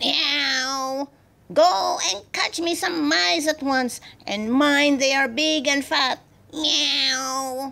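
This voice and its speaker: A growling, put-on character voice moves at a very slow pace. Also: female-sounding voice, high pitch for a woman. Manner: cross, growling, bossy.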